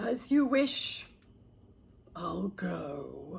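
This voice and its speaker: A put-on character voice sits at a middle pitch. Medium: read story. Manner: polite, fussy.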